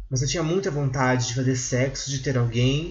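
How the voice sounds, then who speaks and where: A man's fairly high, somewhat breathy voice with audible room echo. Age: 20s. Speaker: podcast host. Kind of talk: solo monologue commentary. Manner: halting with many filler hesitations.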